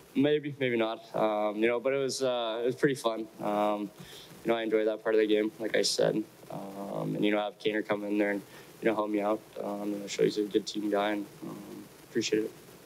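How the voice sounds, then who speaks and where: Over background music, a man with a fairly low pitch speaks at a fairly quick pace with fairly even intonation. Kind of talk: interview answer. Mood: relaxed, smiling at times. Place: hall. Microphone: podium.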